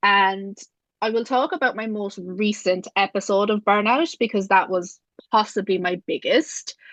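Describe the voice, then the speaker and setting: At a moderate pace and medium pitch, a woman speaks with ordinary pitch variation, the sound dry and close with no echo and the background quiet. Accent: Irish. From Ireland. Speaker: business systems strategist. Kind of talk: podcast interview.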